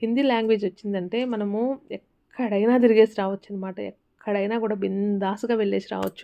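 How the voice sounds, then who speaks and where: This woman has a medium-pitched voice. Her intonation stays flat and monotone. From Rayalaseema, Andhra Pradesh. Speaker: homemaker vlogger. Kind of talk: casual vlog narration. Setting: at home.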